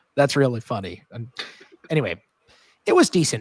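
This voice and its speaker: In an unremarkable speaking voice, a man talks at a fairly quick pace with ordinary pitch variation. The sound is dry and close, with no echo. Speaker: music podcast panelist. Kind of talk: casual album review discussion.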